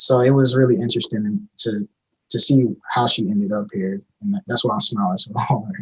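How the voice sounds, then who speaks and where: With an American accent, a man speaks in a normal speaking voice at medium pitch and a moderate pace, with ordinary pitch variation and a dry, close sound with no echo. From Alabama, US South. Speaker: podcast co-host. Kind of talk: podcast interview.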